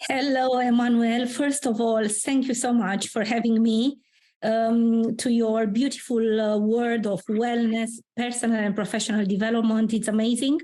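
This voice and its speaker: A woman with a Romanian accent speaks at a moderate pace in a dark, mellow tone with monotone, flat intonation. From Romania, Transylvania. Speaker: career mentor and founder. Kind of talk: interview. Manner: hesitant, many fillers.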